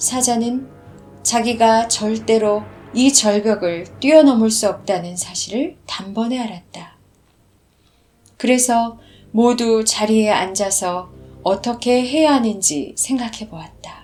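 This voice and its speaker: Very slowly, a woman speaks in a somewhat breathy voice, with ordinary pitch variation and big swings in loudness. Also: fairly high pitch for a woman. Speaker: audiobook narrator. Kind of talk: story narration.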